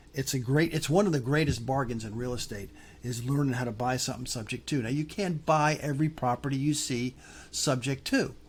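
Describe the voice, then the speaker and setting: On a very clean recording with a silent background, a man speaks at a fairly quick pace in a somewhat breathy, medium-pitched voice with ordinary pitch variation. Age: old. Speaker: real estate investing teacher. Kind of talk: tutorial. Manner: halting.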